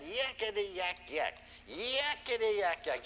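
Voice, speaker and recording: Amid clear background noise, a man does a high-pitched, put-on character voice at a fairly slow pace. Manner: chattering, jabbering.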